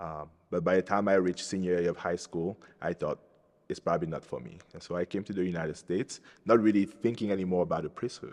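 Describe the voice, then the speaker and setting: A man speaks very fast at a very deep, low pitch, with ordinary pitch variation. His loudness swings widely. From Cameroon. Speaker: Capuchin friar, soon-to-be priest. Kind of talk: interview testimony. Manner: hesitant, with fillers and repeated words.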